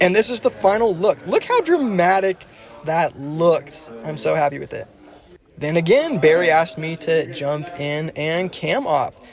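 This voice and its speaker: Over noticeable background noise, a man with a high pitch sounds enthusiastic, using lively intonation at a fairly slow pace. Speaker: videographer / camera operator. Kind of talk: vlog-style behind-the-scenes narration.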